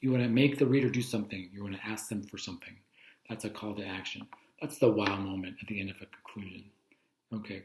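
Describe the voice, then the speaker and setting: This man's fairly low voice is somewhat breathy and very fast, with big swings in loudness and ordinary pitch variation. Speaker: teacher. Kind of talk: lecture. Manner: casual.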